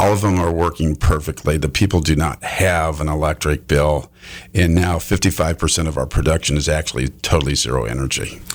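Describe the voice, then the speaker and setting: A man speaks at a fairly quick pace in a very deep, low voice. His voice has vocal fry. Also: fairly even intonation. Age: 60s. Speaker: home builder sales representative. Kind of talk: radio interview.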